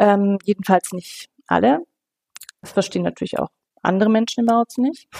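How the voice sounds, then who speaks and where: A woman speaks at a moderate pace with a dark, mellow tone, medium pitch and lively intonation. She takes long, frequent pauses, and the sound is dry and close with no echo. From West Germany. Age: 50s. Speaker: city councillor and teacher. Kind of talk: interview. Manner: hesitant, many fillers.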